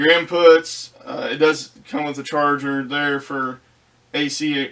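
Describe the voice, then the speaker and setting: Fairly even intonation from a man pitched fairly high. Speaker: product reviewer, ham radio hobbyist. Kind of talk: casual product review. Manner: hesitant, with fillers and repeats.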